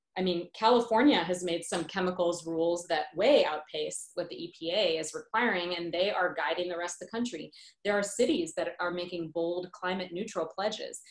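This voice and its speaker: In a space with audible room echo, a woman speaks at a moderate pace and fairly low pitch, with ordinary pitch variation and hardly any pauses. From South India heritage, grew up as immigrant in US. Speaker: pediatrician and professor; professor. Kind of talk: interview conversation. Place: home room. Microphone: video call.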